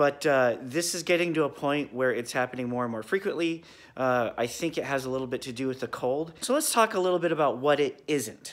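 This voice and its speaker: Delivered fairly quickly with hardly any pauses, the speech shows ordinary movement in pitch. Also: man. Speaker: car hobbyist vlogger. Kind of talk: casual vlog chat. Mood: wry, self-mocking. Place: garage. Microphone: phone near.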